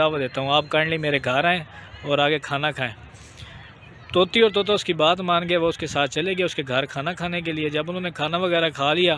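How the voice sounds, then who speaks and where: A man with a high pitch speaks at a moderate pace, his intonation fairly even. The sound is dry with no echo, over light background noise. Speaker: vlogger. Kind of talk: casual vlog storytelling and moral talk. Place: open country. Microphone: phone near.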